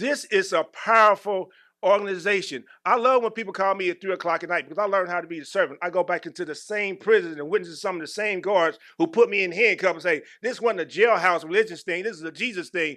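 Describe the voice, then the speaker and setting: A man speaks in a bright, sharp, animated tone with a high pitch and ordinary pitch variation. His raised, projected voice races along at a very fast pace with hardly any pauses. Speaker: employee giving testimony. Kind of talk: testimony. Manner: animated, preacher-like.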